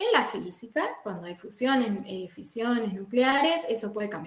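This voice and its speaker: With audible room echo, a woman speaks at a fairly slow pace in a fairly high, somewhat breathy voice with lively intonation. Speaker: chemistry lecturer. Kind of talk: lecture.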